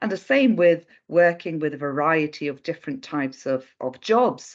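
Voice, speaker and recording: With a Swedish accent, a woman speaks in a fairly low pitch with very wide pitch swings over a quiet background. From Sweden, Stockholm. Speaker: recruitment consultant. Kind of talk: interview.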